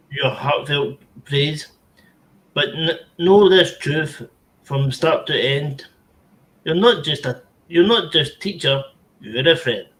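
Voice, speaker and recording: A man's fairly high voice with ordinary pitch variation, at a very slow pace with long, frequent pauses. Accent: Scottish. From Scotland. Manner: animated, jokey.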